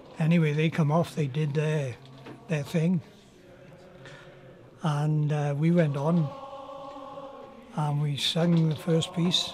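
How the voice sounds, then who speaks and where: A man in a South Welsh accent at a very slow pace, monotone and flat, with long, frequent pauses and noticeable background noise. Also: fairly high pitch for a man. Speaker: male voice choir member. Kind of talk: anecdote told in interview. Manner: casual, humorous.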